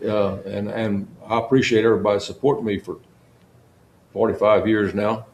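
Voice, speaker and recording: Talking at a fairly quick pace but with long, frequent pauses, a man with a South Texas accent keeps a fairly low pitch and monotone, flat intonation. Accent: South Texas rural. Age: 80s+. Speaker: longtime county sheriff. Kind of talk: interview. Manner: halting, with many repeated words.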